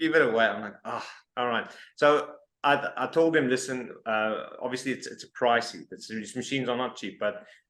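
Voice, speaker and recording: In a South African accent, a man talks at a moderate pace and medium pitch with ordinary pitch variation. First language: Afrikaans. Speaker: interviewer, expat community app founder. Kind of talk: casual interview.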